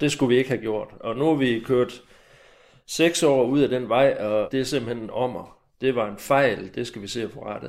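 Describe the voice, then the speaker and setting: A man with a plain, everyday voice talks at a moderate pace and medium pitch, with fairly even intonation. His loudness swings widely on a very clean recording with a silent background. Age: 60s. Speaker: retired army major, former lecturer. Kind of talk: recorded interview.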